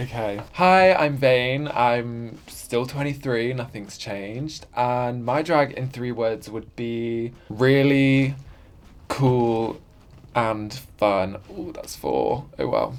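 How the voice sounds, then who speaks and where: A man speaks at a very slow pace with a London accent. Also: medium pitch for a man, ordinary pitch variation. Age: 20s. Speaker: drag performer. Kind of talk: documentary interview. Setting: pub.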